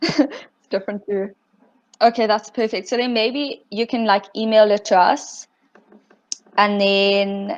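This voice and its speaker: Speaking at a fairly slow pace with long, frequent pauses, a woman with a slight British accent uses a fairly high pitch and ordinary pitch variation. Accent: slight British-sounding. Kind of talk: casual meeting chat. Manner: casual, filler-heavy.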